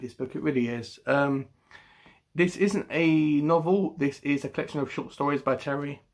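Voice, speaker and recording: The voice, with a British accent and fairly even intonation, comes through on a very clean recording with a silent background. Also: man. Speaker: book vlogger. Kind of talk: casual chat. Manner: halting.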